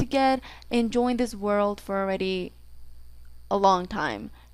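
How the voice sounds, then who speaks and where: In a Mexican accent, a woman of medium pitch is heard on a very clean recording with a silent background. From Mexico. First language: Spanish. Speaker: gaming YouTuber. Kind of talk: casual vlog introduction. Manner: rambling, filler-heavy casual speech.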